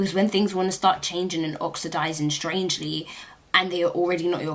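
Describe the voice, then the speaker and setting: Over noticeable background noise, a woman talks at a moderate pace with a fairly low pitch and fairly even intonation. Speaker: beauty vlogger. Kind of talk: product review. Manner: casual, filler-heavy.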